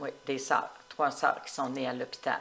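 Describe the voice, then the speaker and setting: A woman speaks in a very deep, low voice with a flat monotone while music plays in the background. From Quebec, Portneuf region. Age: 70s. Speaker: retired municipal clerk. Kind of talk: interview. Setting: at her home.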